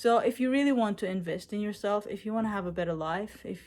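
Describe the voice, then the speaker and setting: A woman speaks at a fairly quick pace with ordinary pitch variation. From Israel. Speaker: coaching client, bodybuilder. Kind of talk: testimony. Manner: halting, many fillers.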